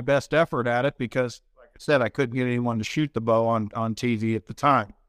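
A man with an American accent in an unremarkable speaking voice, medium pitch and ordinary pitch variation at a fairly quick pace, dry and close with no echo on a very clean recording with a silent background. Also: hardly any pauses. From Kansas. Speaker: TV hunting show host and country singer. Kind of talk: interview.

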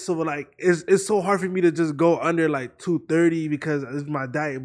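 A man's fairly high voice at a moderate pace, with ordinary pitch variation, in a very clean recording with a silent background. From Florida. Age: 20s. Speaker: internet comedian. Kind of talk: casual chat.

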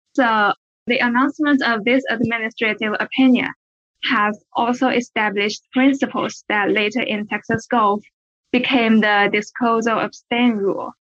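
A woman's fairly high voice with a Chinese accent, moderate pace and fairly even intonation, in a dry, close sound with no echo. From China. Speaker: law student. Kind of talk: academic discussion.

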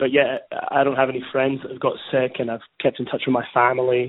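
This man speaks with a Scottish accent. His intonation stays monotone and flat. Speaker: news reporter. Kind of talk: interview.

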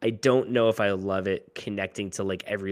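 With a plain, everyday voice, a man talks fairly low in pitch and keeps his intonation fairly even. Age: 30s. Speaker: podcast co-host and writer. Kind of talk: casual interview chat.

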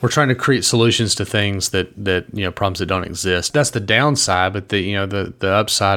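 His tone is bright and sharp. The man's pitch is fairly low. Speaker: podcast co-host.

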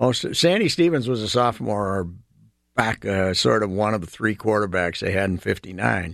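A man with an Upper Midwest accent, fairly low in pitch, at a moderate pace with lively intonation. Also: quiet background. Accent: Upper Midwest (Minnesota). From southwestern Minnesota. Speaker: veteran sports columnist. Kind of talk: casual storytelling interview. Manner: halting, frequent fillers.

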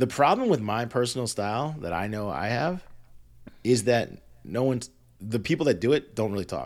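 A man talks at a fairly quick pace in an ordinary speaking voice. His pitch is medium and his intonation lively. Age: 40s. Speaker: podcast co-host. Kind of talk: casual chat.

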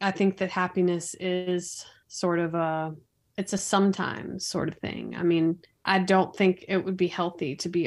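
A woman with an American accent speaks at a medium pitch and a fairly slow pace. Her intonation is flat and monotone on a very clean recording with a silent background. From US South, Raleigh, North Carolina. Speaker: video producer and business owner. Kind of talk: interview.

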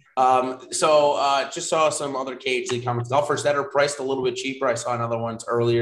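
At a very fast pace, a man with an American accent talks at medium pitch. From US Northeast. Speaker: fantasy sports analyst. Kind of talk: live streamed analysis show.

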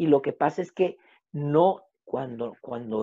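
A man with a plain, everyday voice, fairly high pitch and lively intonation. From Mexico. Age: 50s. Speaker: family constellation therapist. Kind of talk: casual interview.

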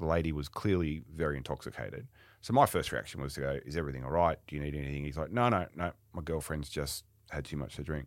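With an Australian accent, a man talks at a very fast pace in a very deep, low pitch with vocal fry and ordinary pitch variation, on a very clean recording against a silent background. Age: 50s. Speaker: retail company executive. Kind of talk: podcast interview.

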